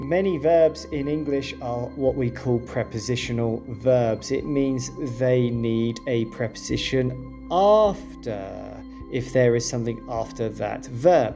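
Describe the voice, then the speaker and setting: Over music in the background, a man with a British accent speaks very slowly in a calm tone, with a medium pitch and ordinary pitch variation. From UK. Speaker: English teacher. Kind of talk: English lesson narration. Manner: calm, clear.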